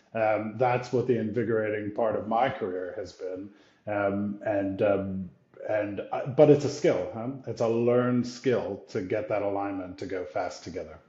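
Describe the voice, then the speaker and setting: A man with an American accent at medium pitch, moderate pace and ordinary pitch variation, with audible room echo and noticeable background noise. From US, New York area. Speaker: brand executive. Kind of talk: interview conversation.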